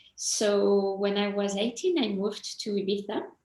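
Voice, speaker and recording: In a French accent, a woman talks at a very slow pace. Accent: French, still noticeable. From France, small town. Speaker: mindset coach. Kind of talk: interview.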